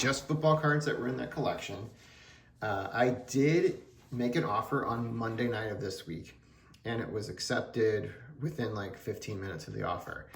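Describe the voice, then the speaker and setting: Mumbling at a moderate pace with lively intonation, a man speaks in a room with audible echo. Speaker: sports card collector YouTuber. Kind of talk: casual vlog. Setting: home card room on camera.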